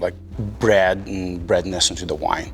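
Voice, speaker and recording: There is noticeable background noise. A man speaks with a Moldovan accent. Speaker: winemaker. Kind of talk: casual interview. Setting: winery barrel room.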